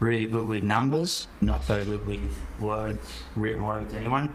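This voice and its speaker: A man with an Australian accent speaks at a moderate pace in a fairly low voice, with noticeable background noise and audible room echo. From Australia, Helensburgh NSW (south of Sydney). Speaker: farmer. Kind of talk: podcast interview. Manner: casual.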